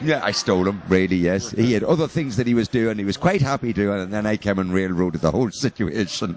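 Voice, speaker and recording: Someone talks at a very fast pace in an Irish accent. There are hardly any pauses. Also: man, lively intonation. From Northern Ireland, near Enniskillen. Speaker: rock guitarist and band leader. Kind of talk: interview. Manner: halting, many fillers.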